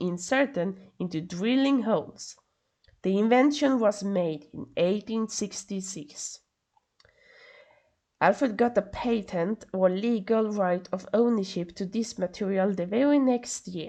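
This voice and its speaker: A woman with a Swedish accent speaks at a fairly slow pace. Her medium-pitched voice is dark and mellow, with ordinary pitch variation. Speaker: podcast host. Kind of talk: solo podcast narration. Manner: halting, stumbling over words; casual asides.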